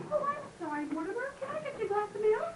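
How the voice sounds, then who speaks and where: A woman's squeaky, put-on character voice at an extremely high pitch and very fast pace, with slight echo and clear background noise. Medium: stage play.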